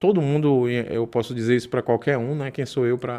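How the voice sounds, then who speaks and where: With a dark, mellow tone, the male voice stays mid-range in pitch and varies it in an ordinary way. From Bahia, Brazil (Ilhéus). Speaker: police officer. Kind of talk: interview. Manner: halting.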